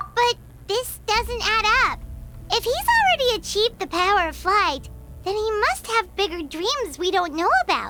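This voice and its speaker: Clear background noise sits behind a cartoonish character voice pitched extremely high and delivered at a moderate pace. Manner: excitable, talkative.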